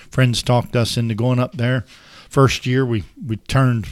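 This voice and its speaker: The speaker talks at a moderate pace with an American accent. The recording is very clean, with a silent background. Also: man. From US South, Florida (Dade City area). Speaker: farm business manager, retired firefighter. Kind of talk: casual interview. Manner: halting, many fillers.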